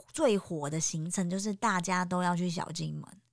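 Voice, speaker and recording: A woman at medium pitch speaks in an animated tone. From Taiwan, Taipei. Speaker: podcast host, guesthouse owner. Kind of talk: casual interview.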